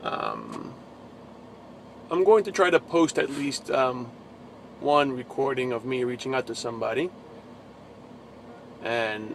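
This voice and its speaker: Amid noticeable background noise, a man with a New Jersey accent speaks at a fairly slow pace with long, frequent pauses. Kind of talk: casual religious vlog. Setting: in a truck. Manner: halting.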